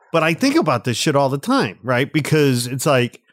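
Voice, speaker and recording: A man's playful, fairly high voice with an American accent, fairly quick pace, and a very clean recording over a silent background. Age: 50s. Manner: joking, playful.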